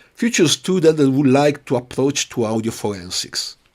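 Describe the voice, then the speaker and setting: A man with an Italian accent speaks with very wide pitch swings. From Italy, Piedmont. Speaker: audio forensics expert. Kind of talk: interview. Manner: halting.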